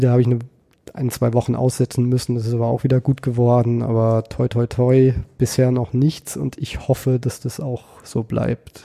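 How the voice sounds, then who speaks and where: A man speaks at a moderate pace. His medium-pitched voice has a dark, mellow tone. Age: 30s. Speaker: kendo trainer. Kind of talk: casual interview. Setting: office.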